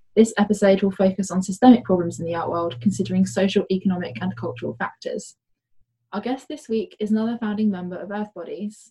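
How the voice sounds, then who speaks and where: Somewhat breathy and dark, mellow in tone, the voice moves at a very fast pace with lively intonation and big swings in loudness. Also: woman, medium pitch for a woman. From UK. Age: young. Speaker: artist and podcast co-host. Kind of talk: scripted intro; casual chat.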